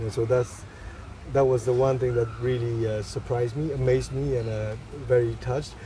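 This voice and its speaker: A man with a Burmese accent speaks at a moderate pace and medium pitch, his intonation monotone and flat, with audible room echo around him. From Myanmar. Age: 30s. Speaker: photographer. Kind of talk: interview. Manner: halting.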